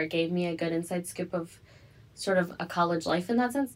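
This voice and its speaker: A woman with an American accent talks at a fairly quick pace in an ordinary speaking voice, fairly low in pitch with ordinary pitch variation. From Evanston, Illinois, US Midwest. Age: young. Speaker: college student. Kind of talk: interview.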